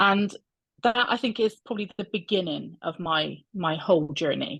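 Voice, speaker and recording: A woman with a Bristol accent speaks at a moderate pace and medium pitch, using ordinary pitch variation and vocal fry against a quiet background. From England, Bristol. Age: 40s. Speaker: coaching client, health service worker. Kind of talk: interview testimony. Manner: hesitant, many fillers.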